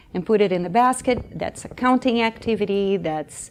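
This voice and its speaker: Speaking with a Brazilian accent, a woman has a medium pitch, ordinary pitch variation and a moderate pace. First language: Portuguese. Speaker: early childhood education coach. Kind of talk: conference workshop presentation. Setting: conference room with audience. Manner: animated.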